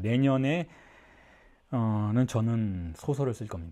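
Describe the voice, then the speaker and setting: Dark and mellow in tone, the voice shows ordinary pitch variation. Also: man. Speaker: psychoanalysis lecturer. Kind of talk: lecture. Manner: fast.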